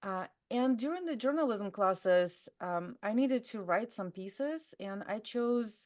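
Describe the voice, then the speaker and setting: A woman speaks with a Russian accent. Her pitch is fairly high. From Russia, Altai region. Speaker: drug prevention trainer. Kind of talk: interview. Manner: hesitant, many fillers.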